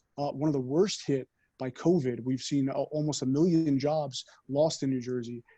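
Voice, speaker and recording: Moderate-paced speech from a man, fairly high in pitch and fairly even in intonation. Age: 30s. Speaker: congressional candidate. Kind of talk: campaign pitch on video call. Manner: halting, many fillers.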